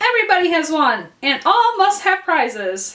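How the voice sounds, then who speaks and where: Putting on a squeaky character voice at an extremely high pitch, a woman speaks at a moderate pace. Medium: read story. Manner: grave, solemn.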